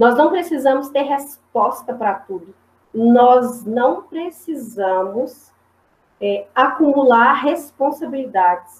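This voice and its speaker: A woman's high-pitched voice at a very slow pace, with lively intonation. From Minas Gerais, Brazil. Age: 30s. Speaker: history teacher and school principal. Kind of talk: talk at community discussion.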